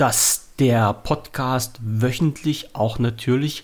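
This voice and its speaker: A somewhat breathy man's voice, medium in pitch, at a very slow pace. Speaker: podcast host. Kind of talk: casual chat. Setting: remote call.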